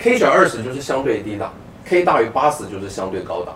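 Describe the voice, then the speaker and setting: A man at medium pitch and a very fast pace, with very wide pitch swings over noticeable background noise. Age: 50s. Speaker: personal finance author. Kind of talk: casual chat.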